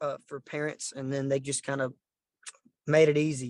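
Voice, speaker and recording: In a dry, close sound with no echo, a man with a Southern US accent speaks at a fairly high pitch with monotone, flat intonation. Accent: Southern twang. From Southeast Texas (Orange). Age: 20s. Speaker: country musician. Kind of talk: casual interview. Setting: call.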